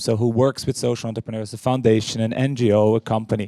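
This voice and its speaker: In a very clean recording with a silent background and a dry, close sound with no echo, a man speaks at a very fast pace with a dark, mellow tone. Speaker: conference moderator and co-founder of a social enterprise hub. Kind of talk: conference welcome speech. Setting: stage with audience.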